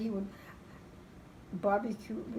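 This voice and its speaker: Moderate-paced speech from a woman at medium pitch, with noticeable background noise. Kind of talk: interview answer.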